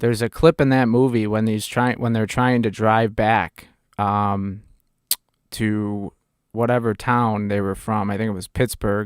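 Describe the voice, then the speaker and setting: A man with a fairly low voice and a Chicago accent speaks in a flat monotone at a fairly slow pace, with long, frequent pauses on a very clean recording with a silent background. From Chicago area (North Chicago region). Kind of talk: casual chat. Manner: halting.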